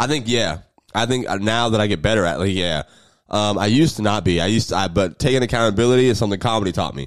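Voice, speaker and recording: In a very clean recording with a silent background, a man talks at a very fast pace with an American accent. His pitch is fairly low, with ordinary pitch variation. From US South, Jacksonville, Florida. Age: 20s. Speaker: comedian. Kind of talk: casual chat.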